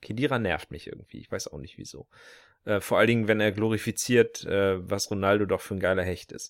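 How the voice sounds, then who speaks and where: On a very clean recording with a silent background, a man with a normal speaking voice and fairly low pitch speaks at a fairly quick pace, his pitch varying in an ordinary way and his loudness swinging widely. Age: 20s. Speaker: podcast co-host. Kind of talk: casual chat.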